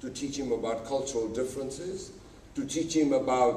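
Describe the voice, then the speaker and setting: The man speaks at a moderate pace, with audible room echo around him. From Uganda. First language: Gujarati. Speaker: public speaker, writer. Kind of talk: conference talk. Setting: stage with audience.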